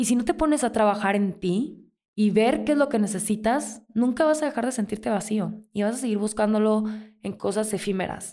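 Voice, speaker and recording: In a very clean recording with a silent background, a woman speaks at a moderate pace with a fairly high pitch, a dark, mellow tone and ordinary pitch variation. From Mexico, Mazatlán (Sinaloa). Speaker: podcast host. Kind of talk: casual solo monologue, self-help advice.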